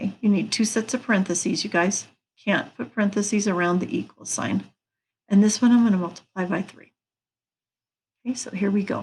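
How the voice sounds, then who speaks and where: A woman speaks at medium pitch in a somewhat breathy voice, fairly quickly and with fairly even intonation. Long pauses come often. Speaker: math teacher. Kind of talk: lecture.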